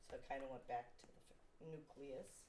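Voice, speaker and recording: Very deep, low pitch from a woman with an American accent, a dark, mellow tone, fairly even intonation and audible room echo. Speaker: podcast guest, mother of a friend. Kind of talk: casual interview chat. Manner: lazy speech.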